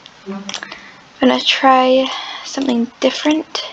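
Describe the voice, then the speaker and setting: Noticeable background noise runs under the recording. A high-pitched woman speaks very slowly. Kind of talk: casual gameplay commentary. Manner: chatty, hesitant.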